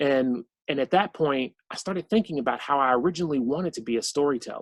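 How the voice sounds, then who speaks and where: Here a man speaks very fast with a Southern US accent. His pitch is fairly high, and the sound is dry and close with no echo. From southwestern Virginia. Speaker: cartoonist and author. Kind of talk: author talk. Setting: video call. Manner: conversational, many fillers.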